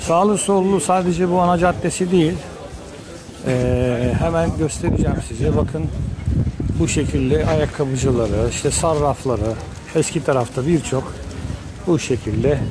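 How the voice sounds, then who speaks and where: Long, frequent pauses break up a man's speech as noticeable background noise runs underneath. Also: fairly slow pace. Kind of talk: walking tour commentary. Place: market. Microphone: phone near.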